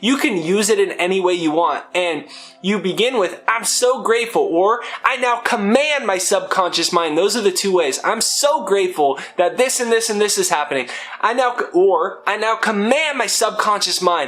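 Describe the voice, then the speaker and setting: Over noticeable background noise, a man speaks in an animated tone with lively intonation, high pitch and very even loudness. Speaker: self-help speaker. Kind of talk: motivational talk. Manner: fast.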